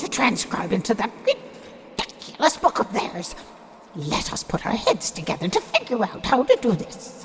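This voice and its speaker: A put-on character voice comes through at a fairly high pitch. It moves at a moderate pace over clear background noise. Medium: audio drama.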